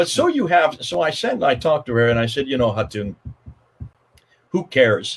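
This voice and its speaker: Somewhat breathy, a man of medium pitch speaks at a moderate pace with lively intonation and long, frequent pauses. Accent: American. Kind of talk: livestream interview. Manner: animated.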